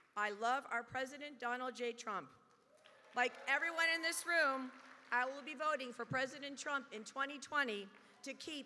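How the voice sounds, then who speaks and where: Her voice is high-pitched. The woman speaks in a raised, projected voice. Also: ordinary pitch variation, moderate pace. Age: 60s. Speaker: retired federal employee, political speaker. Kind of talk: prepared speech.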